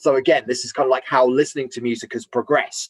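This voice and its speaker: A man with a fairly high pitch at a very fast pace, in a dry, close sound with no echo. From Romford, Essex, England. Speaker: voiceover artist and radio presenter. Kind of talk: interview. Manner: loud, unaware of own volume; somewhat stifled, hesitant speech.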